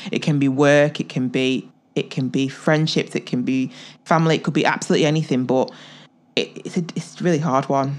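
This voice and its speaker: A woman with a very deep, low voice talks at a fairly quick pace with an English accent. The background is quiet. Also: ordinary pitch variation. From England. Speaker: podcast co-host. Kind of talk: casual chat.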